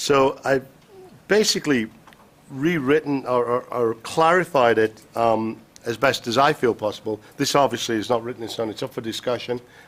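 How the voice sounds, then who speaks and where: A man with a Yorkshire accent speaks in a medium pitch. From Yorkshire, northern England. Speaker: commission chair. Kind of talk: public meeting chairing. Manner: fast; halting, many fillers.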